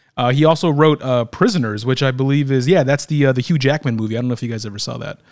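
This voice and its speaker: On a very clean recording with a silent background, a man at medium pitch talks at a very fast pace. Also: ordinary pitch variation. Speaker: podcast host. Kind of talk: casual chat. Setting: studio, same room as co-hosts.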